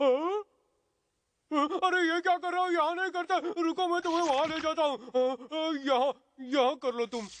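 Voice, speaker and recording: An extremely high-pitched cartoonish character voice at a moderate pace, broken by long, frequent pauses. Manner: whiny, complaining.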